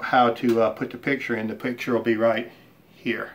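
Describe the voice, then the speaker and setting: The speaker is a man with a medium-pitched voice. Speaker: woodworking hobbyist and channel host. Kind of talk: casual shop update video. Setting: home workshop. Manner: halting, many fillers.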